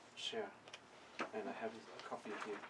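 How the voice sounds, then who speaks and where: A man with a non-native accent, amid noticeable background noise and audible room echo. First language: Vietnamese. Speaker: Buddhist monk teacher. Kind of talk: dharma talk. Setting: monastery. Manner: halting.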